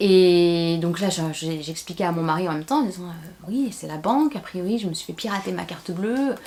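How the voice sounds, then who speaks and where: Noticeable background noise sits behind a woman with a fairly low pitch and ordinary pitch variation. She keeps a moderate pace with hardly any pauses. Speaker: beauty and lifestyle YouTuber. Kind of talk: unboxing vlog with story time. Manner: animated.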